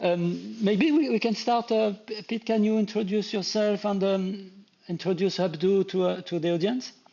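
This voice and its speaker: A man with a French accent has a high pitch and ordinary pitch variation. He keeps a moderate pace. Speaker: live stream host. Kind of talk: interview on a live stream. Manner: halting, many repetitions.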